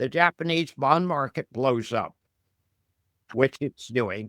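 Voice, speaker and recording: A man with an American accent talks at a fairly high pitch with lively intonation. The recording is very clean, dry and close, with no echo and a silent background. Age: 70s. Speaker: investment commentator, former fighter pilot. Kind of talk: interview.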